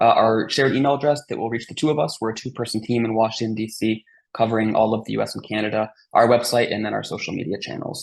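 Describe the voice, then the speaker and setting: Very fast delivery with fairly even intonation. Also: man. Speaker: regional coordinator of research outreach program. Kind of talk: conference presentation.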